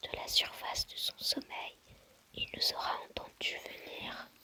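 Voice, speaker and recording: A very slow whisper with noticeable noise behind it. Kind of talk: novel reading. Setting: low-quality microphone. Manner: whispered.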